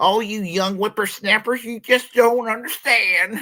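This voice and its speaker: A man puts on a high-pitched character voice, speaking at a moderate pace with fairly even intonation. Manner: grumpy, scolding.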